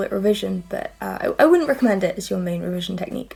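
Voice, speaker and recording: Here a woman is talking. Noticeable background noise sits behind her. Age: young. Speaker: school leaver. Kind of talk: testimonial interview.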